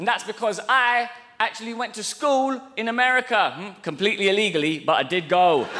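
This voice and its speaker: A man's raised, projected, high-pitched voice with a British accent, lively in intonation and at a fairly quick pace, over noticeable background noise. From England. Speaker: stand-up comedian. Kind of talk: stand-up. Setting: stage with audience. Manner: animated.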